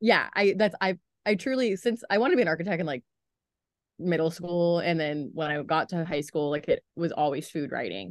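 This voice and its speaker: Over a quiet background, a woman with a Midwestern American accent speaks fairly quickly at a fairly low pitch with lively intonation, the sound dry and close with no echo. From US Midwest, southern Ohio (Chillicothe). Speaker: newspaper food editor. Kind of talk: casual interview.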